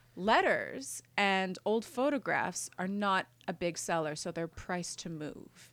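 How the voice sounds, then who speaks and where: Woman with an ordinary speaking voice and a Canadian accent, medium pitch, lively intonation and a fairly slow pace, in a very clean recording with a silent background. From Montreal, Quebec. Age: 30s. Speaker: writer. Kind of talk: interview.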